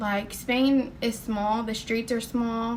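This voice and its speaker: Flat and monotone, a woman with a Southern US accent speaks at a fairly high pitch. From US South. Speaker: nursing student and vlogger. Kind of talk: personal testimony vlog. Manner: casual, many fillers.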